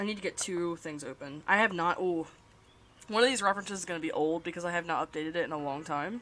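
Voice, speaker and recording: A woman speaks at a fairly quick pace. Her voice has a fairly low pitch. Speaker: streamer and animator. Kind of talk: casual live stream chat while drawing. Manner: halting, frequent self-corrections. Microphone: problematic mic, repositioned to avoid static.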